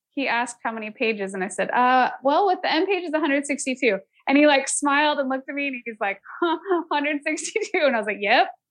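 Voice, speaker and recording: Lively intonation and a moderate pace mark this speech with an American accent. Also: woman, high pitch for a woman. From US West Coast, San Francisco Bay Area. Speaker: author and illustrator. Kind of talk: casual interview chat.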